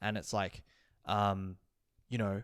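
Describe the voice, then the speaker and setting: The speaker talks at a very slow pace with an Australian accent. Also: man. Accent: normal Australian. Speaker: podcast co-host. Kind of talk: casual chat. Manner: casual, many fillers.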